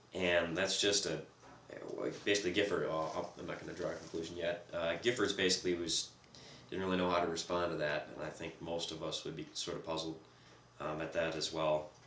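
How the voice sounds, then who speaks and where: Over noticeable background noise and audible room echo, a man with a very deep, low voice talks at a fairly quick pace in a monotone, flat delivery broken by long, frequent pauses. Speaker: podcast co-host. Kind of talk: casual discussion. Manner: speaking as loud as possible.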